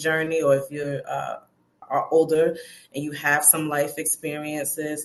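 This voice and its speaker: In an American accent, a woman speaks at a moderate pace with a very deep, low pitch. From US Northeast, Brooklyn. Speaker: personal development coach. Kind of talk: interview.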